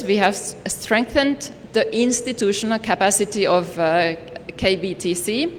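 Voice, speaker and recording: A woman speaks at a moderate pace and medium pitch, her intonation lively. Background noise is noticeable. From Finland. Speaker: development partner representative. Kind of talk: ceremony speech. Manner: formal.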